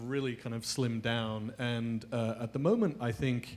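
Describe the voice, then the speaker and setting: Speaking with a British accent, a man keeps a medium pitch and fairly even intonation at a fairly slow pace. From UK. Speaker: mobile advertising executive. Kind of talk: panel discussion. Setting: stage with audience.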